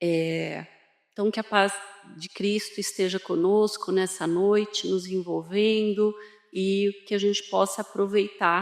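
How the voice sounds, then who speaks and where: A woman at a medium pitch, with fairly even intonation and a fairly slow pace. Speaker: spiritist lecturer. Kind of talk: lecture. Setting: hall with audience. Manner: soft-spoken.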